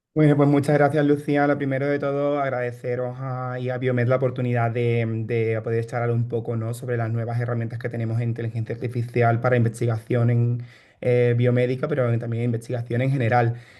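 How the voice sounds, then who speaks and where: A man speaks in a dark, mellow tone with monotone, flat intonation at a fairly quick pace. The background is quiet. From Spain, Seville (Andalusia). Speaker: bioinformatician and startup founder. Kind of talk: online workshop presentation. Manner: hesitant, many fillers and repetitions.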